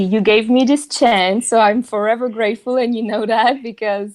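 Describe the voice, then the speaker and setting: On a very clean recording with a silent background, a woman with a fairly high voice speaks at a moderate pace, keeping fairly even intonation and hardly any pauses. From southern France. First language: French. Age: 30s. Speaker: marketing professional and yoga teacher. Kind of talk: podcast interview. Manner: halting, many fillers.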